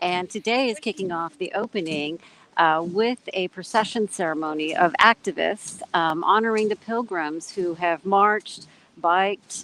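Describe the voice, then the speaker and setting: A woman's medium-pitched voice in a Californian accent, bright and sharp in tone, with ordinary pitch variation, a moderate pace and a dry, close sound with no echo. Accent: General American (Californian). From US West Coast, San Francisco Bay Area. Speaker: activist. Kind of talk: live report. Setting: outdoors at a procession, video call. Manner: quiet.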